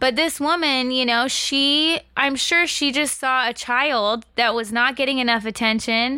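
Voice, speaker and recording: With an American accent, a woman uses a raised, projected voice at a high pitch, keeping fairly even intonation, very even loudness, a bright and sharp tone and a fairly slow pace with hardly any pauses. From Utah. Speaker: podcast host. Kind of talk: casual chat.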